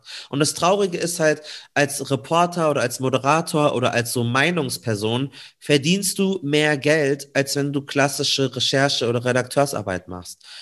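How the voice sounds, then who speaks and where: A man talks in a normal speaking voice at a fairly high pitch, with ordinary pitch variation at a moderate pace. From Munich, Bavaria. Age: 20s. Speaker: radio and TV journalist. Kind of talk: interview.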